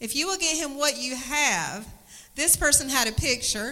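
This woman's voice is high and raised, projected outward. She speaks at a moderate pace. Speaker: church announcer. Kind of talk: church announcements. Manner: warm, friendly.

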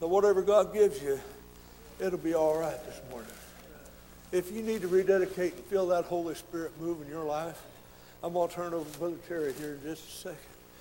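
A high-pitched man with an American accent, very fast pace broken by long, frequent pauses, big swings in loudness, fairly even intonation and noticeable background noise. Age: 60s. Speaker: visiting preacher. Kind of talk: sermon.

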